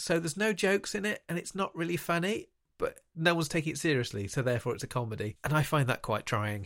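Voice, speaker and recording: A man speaks very fast, his pitch swinging very widely, with vocal fry. The recording is very clean against a silent background. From Lincolnshire, England. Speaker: podcast co-host and author. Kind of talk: casual chat.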